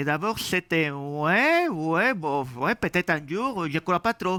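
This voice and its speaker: A man's raised, projected voice with a slight Spanish accent, bright and sharp in tone, at a very slow pace with lively intonation. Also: dry, close sound with no echo, very clean recording, silent background. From Spain. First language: Spanish (speaking French). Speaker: software developer and conference speaker. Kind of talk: tech talk. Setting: meetup with audience.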